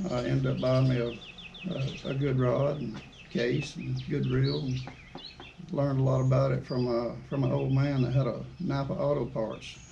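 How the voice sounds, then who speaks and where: A man with an Alabama accent talks at a moderate pace. Noticeable background noise and audible room echo fill the recording. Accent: Southern US (Alabama). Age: 50s. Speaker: outdoors channel host, angler. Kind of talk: podcast interview.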